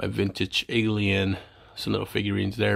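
Male speech at a fairly quick pace. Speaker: toy collector vlogger. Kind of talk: casual vlog chat.

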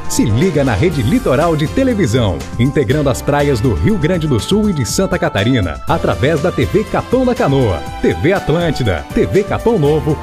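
Music plays in the background as a man speaks at a moderate pace. His fairly high pitch makes very wide swings. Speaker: voice-over announcer. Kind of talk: TV station promo read.

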